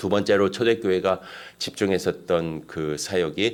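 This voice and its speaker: The speaker is a man. His voice sits at a very deep, low pitch. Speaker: pastor. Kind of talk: sermon. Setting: church.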